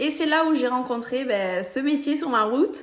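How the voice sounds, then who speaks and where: Here a woman speaks with ordinary pitch variation. Audible room echo surrounds her voice. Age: 20s. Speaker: social media seller, beauty brand ambassador. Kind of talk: casual explainer vlog.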